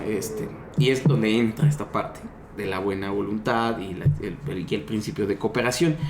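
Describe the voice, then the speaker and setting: A man speaks with lively intonation, his voice carrying audible room echo over noticeable background noise. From Mexico, Yucatán. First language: Yucatec Maya (speaking Spanish). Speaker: linguist and Maya language teacher. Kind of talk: podcast discussion. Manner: halting, frequent fillers and repetitions.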